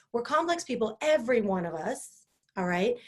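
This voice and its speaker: A woman with a West Coast accent, high-pitched, with very wide pitch swings. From California, Sierra Nevada. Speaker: live-stream host. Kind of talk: casual live-stream talk. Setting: Facebook live stream. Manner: animated.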